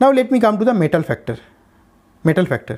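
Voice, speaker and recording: A man speaks with an Indian accent and a high pitch. His intonation is lively. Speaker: chemistry teacher. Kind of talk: lecture. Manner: fast.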